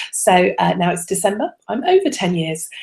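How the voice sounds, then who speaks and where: A soft-spoken, somewhat breathy woman with an English accent. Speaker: religious education advisor. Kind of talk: webinar presentation. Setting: online video broadcast. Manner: hesitant, many fillers.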